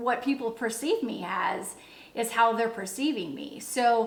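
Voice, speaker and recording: A woman's fairly high voice at a fairly slow pace, with audible room echo and noticeable background noise. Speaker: leadership coach. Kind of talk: motivational talk. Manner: pitch rises when excited.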